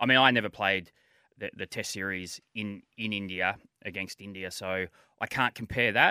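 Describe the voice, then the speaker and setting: A man with an Australian accent, fairly low in pitch, with a bright, sharp tone, fairly even intonation, and a dry, close sound with no echo on a very clean recording with a silent background. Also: moderate pace. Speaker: former cricketer and coach. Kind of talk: casual chat. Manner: hesitant with many fillers and repetitions.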